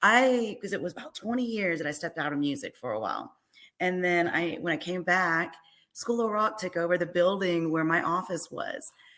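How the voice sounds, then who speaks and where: Bright, sharp tone comes from a woman with a fairly low pitch. Her intonation is lively. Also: moderate pace. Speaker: singer. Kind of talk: casual interview chat. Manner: loud.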